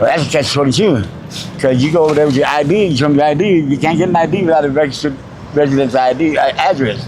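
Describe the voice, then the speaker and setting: Very fast and at very even loudness, a man with an American accent talks at a fairly high pitch with ordinary pitch variation. Audible room echo and noticeable background noise fill the recording. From New Mexico, US. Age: 60s. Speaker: homeless mobile mechanic. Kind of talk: street interview.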